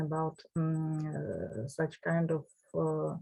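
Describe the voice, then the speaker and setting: The speaker is a woman with a Russian accent. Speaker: professor. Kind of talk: lecture. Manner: halting.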